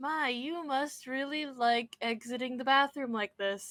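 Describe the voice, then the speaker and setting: A put-on character voice, female-sounding and high for a woman, at a moderate pace. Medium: actual play.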